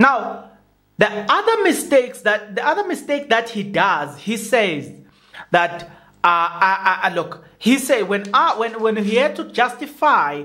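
Against a quiet background, a man speaks fairly slowly in a raised, projected voice with very wide pitch swings. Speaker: YouTube commentator. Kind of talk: commentary. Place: home room. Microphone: studio mic.

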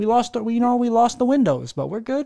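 A dark, mellow tone in a Philadelphia accent, in a very clean recording with a silent background. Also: man. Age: 30s. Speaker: podcast host. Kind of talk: casual chat. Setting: home living room.

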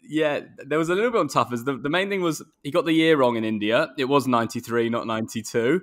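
A man with an English accent talks at a moderate pace with hardly any pauses. The background is quiet. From England. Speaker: cricketer, podcast co-host; podcast co-host. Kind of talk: casual chat. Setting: video call. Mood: relaxed, jokey. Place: home room. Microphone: earbuds.

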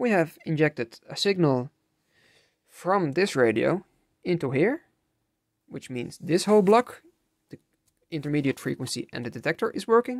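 Over a quiet background, the speech runs at a moderate pace broken by long, frequent pauses. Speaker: radio repair hobbyist. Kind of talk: unscripted tutorial talk to camera. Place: workshop. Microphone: phone near.

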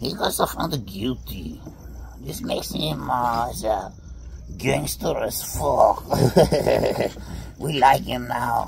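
A man speaks in a put-on character voice at a very slow pace, with long, frequent pauses and clear background noise behind him. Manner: playful, comic.

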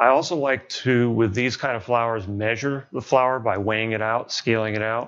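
Ordinary pitch variation marks a man's speech, delivered at a fairly slow pace. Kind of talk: tutorial. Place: kitchen. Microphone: lapel.

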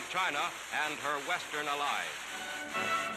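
A man speaks with ordinary pitch variation. Background noise is noticeable. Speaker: newsreel narrator. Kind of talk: newsreel narration.

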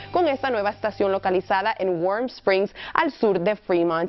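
Lively intonation over faint background music. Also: woman. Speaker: TV reporter and presenter. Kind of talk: TV weather and traffic report. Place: studio.

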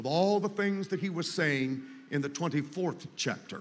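With ordinary pitch variation, a man speaks at a moderate pace and a high pitch. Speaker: pastor, preacher. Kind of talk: sermon, preaching at a revival. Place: tent.

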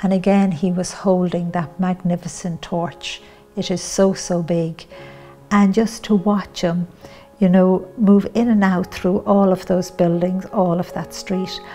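A woman with an Irish accent speaks in a monotone, flat intonation at a fairly slow pace. Faint music plays in the background. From Ireland. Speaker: spiritual teacher and author. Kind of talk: personal testimony to camera. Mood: calm, gentle, earnest. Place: home room.

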